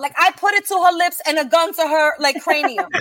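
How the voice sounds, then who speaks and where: A woman with an American accent speaks at an extremely high pitch with ordinary pitch variation. Her pace is moderate, and noticeable background noise is present. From Brooklyn, New York. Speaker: podcast co-host and sketch comedian.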